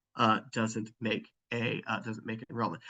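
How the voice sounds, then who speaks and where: Someone with an American accent speaks at a moderate pace in a bright, sharp tone. The sound is dry and close, with no echo. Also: man. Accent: Southern US, thickens over time. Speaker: physics professor. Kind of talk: webinar presentation.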